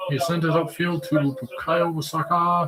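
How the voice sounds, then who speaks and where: Noticeable background noise sits under a man's talking. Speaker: football watch-along streamer. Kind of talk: live commentary.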